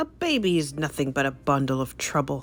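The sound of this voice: A husky, put-on character voice sits at a low-to-middle pitch and moves at a fairly quick pace. Clear music plays in the background.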